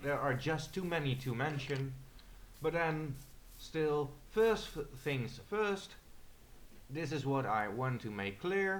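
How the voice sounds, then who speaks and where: In a Dutch accent, a man talks at a very slow pace with a fairly high pitch, lively intonation and long, frequent pauses, with audible room echo around him. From Netherlands. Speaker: gamer. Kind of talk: gameplay commentary. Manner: halting.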